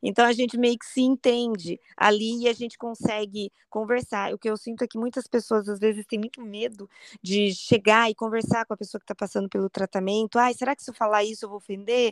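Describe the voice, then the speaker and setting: A woman's fairly high voice at a fairly quick pace, monotone and flat in intonation but with big swings in loudness, on a very clean recording with a silent background and a dry, close sound with no echo. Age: 40s. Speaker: cancer survivor and online community founder. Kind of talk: interview testimony.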